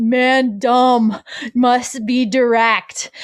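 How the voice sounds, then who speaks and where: A female-sounding put-on character voice, high in pitch, with monotone, flat intonation. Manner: comic, blunt, halting.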